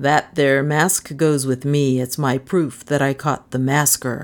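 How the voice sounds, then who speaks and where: A woman puts on a character voice with a very deep, low pitch. She speaks fairly slowly, with monotone, flat intonation and very even loudness. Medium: read story. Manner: blunt, folksy, self-assured.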